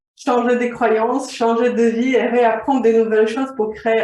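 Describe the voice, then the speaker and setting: A woman speaks at a moderate pace. Her pitch is fairly high. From Slovakia. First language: Slovak (speaking French). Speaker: vision coach. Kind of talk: interview.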